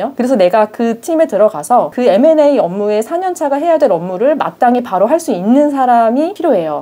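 Moving through very wide pitch swings, a woman speaks at a fairly high pitch and a moderate pace. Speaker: lawyer. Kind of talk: explainer monologue. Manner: formal.

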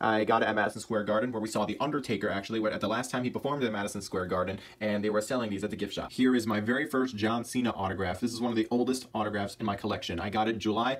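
The speech races at a very fast pace with hardly any pauses and fairly even intonation. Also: man, fairly low pitch for a man. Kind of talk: casual collection showcase narration. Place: home room. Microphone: phone near.

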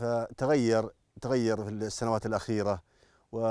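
A man's dark, mellow voice at a moderate pace, dry with no echo, over a quiet background. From Saudi Arabia, Najd. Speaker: national park worker. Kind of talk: interview answers describing work. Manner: proud, earnest. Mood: earnest, hopeful. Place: open country. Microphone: lapel.

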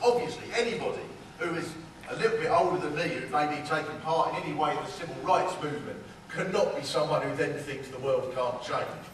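Light background noise and audible room echo are present. A man talks at a fairly quick pace. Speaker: speaker. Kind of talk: political speech with comedy. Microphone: camera far.

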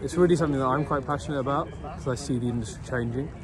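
A man's voice with ordinary pitch variation, dry sound with no echo, and noticeable background noise. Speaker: guest. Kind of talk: interview answer. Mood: earnest, passionate. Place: street. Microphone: phone near.

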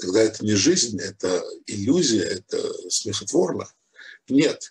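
In a quiet setting, a man's words come out at a very slow pace. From Ukraine, Odessa; Ukraine. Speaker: rabbi, Torah teacher; religious teacher. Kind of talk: religious lecture. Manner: hesitant, many filler sounds. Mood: calm, reflective. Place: home room. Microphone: video call.

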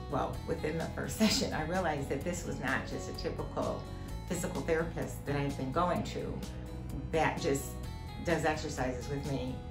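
Music plays clearly behind the voice. The woman keeps a moderate pace. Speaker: patient giving testimonial. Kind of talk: patient testimonial interview. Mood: warm, cheerful. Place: office.

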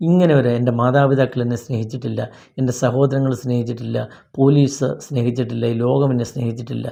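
Here a man speaks at a medium pitch in a dark, mellow tone. His intonation stays fairly even. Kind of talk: devotional talk. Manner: halting.

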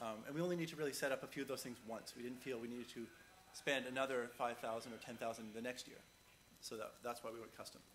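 A man of medium pitch talks at a very fast pace with fairly even intonation. Light background noise is present. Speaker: conference speaker. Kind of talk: conference talk; audience Q&A. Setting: stage with audience. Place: hall.

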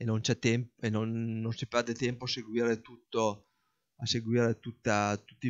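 Against a quiet background, a man speaks in a flat monotone. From northern Italy, Parma province; northern Italy. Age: 40s. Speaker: hobby farmer and office worker. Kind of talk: casual explanatory monologue; casual explanatory vlog chat. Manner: halting, with repetitions. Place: garden. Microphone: non-professional recording equipment; phone near.

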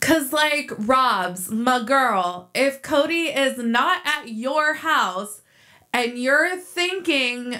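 A woman's raised, projected voice, bright and sharp, moves at a very slow pace with lively intonation over a quiet background. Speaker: reality TV commentary youtuber. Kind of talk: commentary. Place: home room.

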